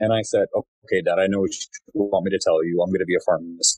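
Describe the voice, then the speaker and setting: The speaker talks at a very fast pace with an American accent, the sound dry and close with no echo. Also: man. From Glendale, California. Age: 30s. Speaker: pharmacist and pharmacy owner. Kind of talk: interview.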